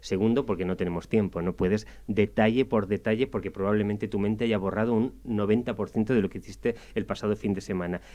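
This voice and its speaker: With a Spanish accent, a man speaks at a very fast pace with hardly any pauses, his fairly low pitch carrying a dark, mellow tone, vocal fry and fairly even intonation. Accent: Spanish (Spain). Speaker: radio columnist. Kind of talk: radio interview discussion.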